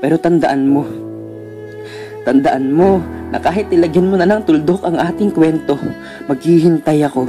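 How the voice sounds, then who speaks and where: With music in the background, a man speaks in a fairly high voice at a moderate pace, with ordinary pitch variation and long, frequent pauses. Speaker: spoken word poet. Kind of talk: spoken word poetry performance.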